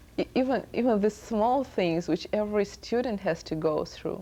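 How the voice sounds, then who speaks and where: A woman of medium pitch with a dark, mellow tone and vocal fry speaks at a moderate pace with lively intonation. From Soviet Union. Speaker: student. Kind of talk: TV interview.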